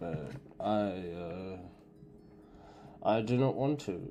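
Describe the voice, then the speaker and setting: A man speaks very slowly in a dark, mellow tone at a fairly low pitch. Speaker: gaming streamer. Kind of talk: let's play commentary. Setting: live stream. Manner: halting, many fillers; slurred-sounding.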